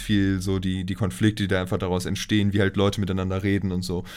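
A man talks at a very deep, low pitch. His intonation stays fairly even. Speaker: podcast co-host. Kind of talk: casual chat. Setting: recording in the same room, single shared mic.

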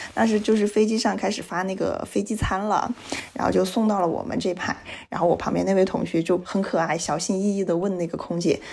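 At a fairly quick pace, a woman with a medium pitch speaks in an animated tone with ordinary pitch variation. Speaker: podcast co-host. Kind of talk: casual chat.

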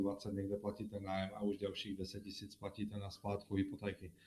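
Dark and mellow in tone, a man with a fairly low pitch talks at a moderate pace. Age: 30s. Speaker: mortgage specialist. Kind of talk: live-stream monologue with viewer Q&A. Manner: halting.

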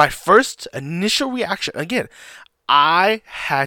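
An animated, excited man with a high pitch and a bright, sharp tone, recorded dry and close with no echo, very clean with a silent background. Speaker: podcast host. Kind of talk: casual solo commentary.

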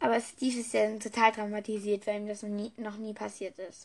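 This woman's voice is fairly high, with fairly even intonation. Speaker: podcaster reviewing and reading books. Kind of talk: casual book review chat. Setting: recording in bed. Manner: halting, many fillers.

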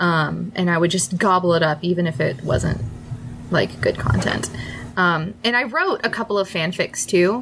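Despite noticeable background noise, a woman with a fairly low pitch keeps very even loudness, a moderate pace and lively intonation. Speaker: podcast co-host. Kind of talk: casual chat.

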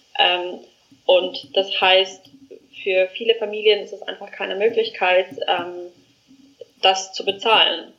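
Very slowly, a woman speaks. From South Africa. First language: not German (South African) (speaking German). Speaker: education startup founder. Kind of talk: interview. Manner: halting, many fillers.

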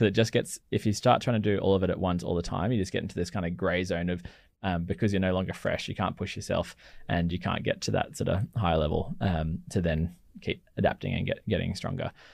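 In an Australian accent, a man speaks at a very fast pace with a very deep, low pitch. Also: ordinary pitch variation, quiet background. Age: 30s. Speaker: physiotherapist. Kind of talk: casual chat.

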